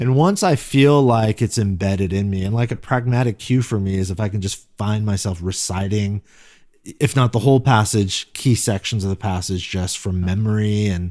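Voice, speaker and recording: At a moderate pace, a man speaks at a fairly low pitch with ordinary pitch variation, in a very clean recording with a silent background. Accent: Californian. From US West Coast, Silicon Valley, California. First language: Korean. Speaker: pastor. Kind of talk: interview. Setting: podcast. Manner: casual, reflective.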